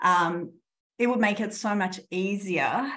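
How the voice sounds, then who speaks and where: A somewhat breathy woman's voice at medium pitch with lively intonation. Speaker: law professor. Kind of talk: conference presentation.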